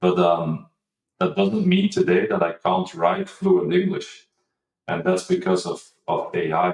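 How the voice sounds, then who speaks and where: The speech moves at a fairly slow pace in a non-native accent. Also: man. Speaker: marketing executive, former data engineer. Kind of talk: interview. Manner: halting, many fillers and repeats.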